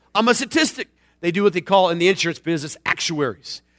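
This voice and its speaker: In a raised, projected voice, a man talks with an animated, bright and sharp tone, the sound dry and close with no echo. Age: 40s. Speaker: pastor. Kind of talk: sermon.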